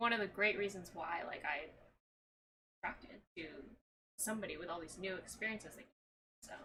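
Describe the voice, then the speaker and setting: Soft-spoken and bright, sharp in tone, a woman at medium pitch talks at a fairly quick pace, with long, frequent pauses and big swings in loudness. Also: ordinary pitch variation. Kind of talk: casual chat.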